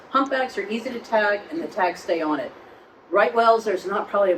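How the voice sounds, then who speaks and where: A woman at a fairly quick pace with ordinary pitch variation, amid noticeable background noise. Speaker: marine lab executive director. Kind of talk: public talk with audience questions. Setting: live event venue with audience. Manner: fast.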